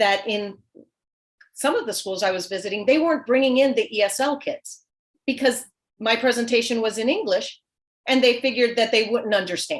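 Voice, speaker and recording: A woman with a Spanish accent, high in pitch with ordinary pitch variation, at a fairly quick pace broken by long, frequent pauses. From US South, small town. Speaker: children's author. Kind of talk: panel discussion.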